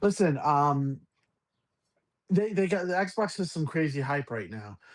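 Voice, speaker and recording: Talking in a New York accent, a man uses a fairly high pitch. He moves at a fairly slow pace with very wide pitch swings. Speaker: gaming podcast host. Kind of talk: casual chat. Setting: live stream. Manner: halting.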